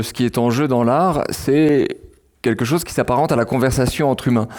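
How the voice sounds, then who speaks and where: The recording is very clean, with a silent background. A man speaks at a moderate pace and medium pitch with ordinary pitch variation. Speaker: philosopher and writer. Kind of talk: public lecture. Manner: hesitant with fillers and repeats.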